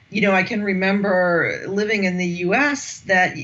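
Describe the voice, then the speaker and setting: A woman speaks at a medium pitch with an American accent and ordinary pitch variation. Noticeable background noise and audible room echo fill the recording. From United States. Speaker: executive coach and management academic. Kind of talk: podcast interview.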